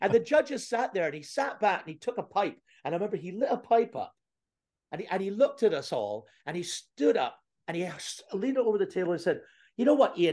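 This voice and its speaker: Against a quiet background, a man in a Canadian accent speaks at a fairly quick pace in a high pitch. His intonation is lively and his tone animated. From Scotland, moved to Canada. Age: late 50s. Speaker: comedian. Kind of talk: casual interview with stand-up bits. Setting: video call. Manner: animated, comedic.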